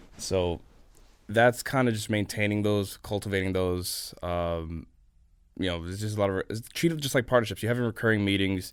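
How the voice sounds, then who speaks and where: An unremarkable speaking voice with an American accent, ordinary pitch variation and a moderate pace, on a very clean recording with a silent background. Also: man, fairly low pitch for a man. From New York, US. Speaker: venture capital investor. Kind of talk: podcast interview. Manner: casual, filler-heavy.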